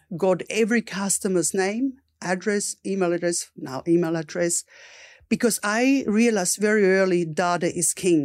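With an Austrian accent, a woman talks at a moderate pace in a medium pitch with ordinary pitch variation, on a very clean recording with a silent background. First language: German. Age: 50s. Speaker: entrepreneur. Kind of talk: interview.

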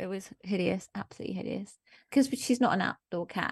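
Recorded dry and close with no echo over a quiet background, a woman at medium pitch speaks with vocal fry. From Germany. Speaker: charity founder and columnist. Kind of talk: casual chat.

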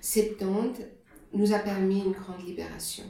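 Noticeable noise sits in the background while room echo can be clearly heard. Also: woman. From Germany. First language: German (speaking French). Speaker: hospital chaplain. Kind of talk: interview. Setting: office.

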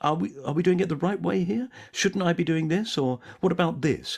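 A man with a fairly high pitch and vocal fry speaks at a moderate pace. The recording is very clean, with a silent background. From South London. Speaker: actor and comedian. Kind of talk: casual chat.

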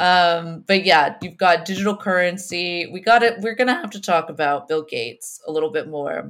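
A woman speaks at a moderate pace with hardly any pauses. Her fairly low voice shows big swings in loudness. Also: ordinary pitch variation. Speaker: podcast host. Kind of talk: casual banter, explanatory political discussion. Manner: hesitant, self-correcting.

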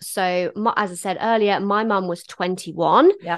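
A woman speaks in a medium pitch against a quiet background. Hers is an unremarkable speaking voice. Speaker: podcast host. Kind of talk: casual chat.

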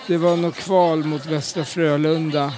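A man speaks at a fairly slow pace with fairly even intonation. Audible room echo and crowd noise fill the background. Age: 50s. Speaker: football supporter. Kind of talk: interview.

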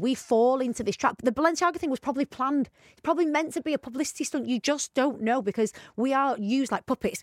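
Speaking very fast with a British accent, a high-pitched woman uses lively intonation in a very clean recording with a silent background. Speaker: podcast co-host. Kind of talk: casual chat. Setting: studio.

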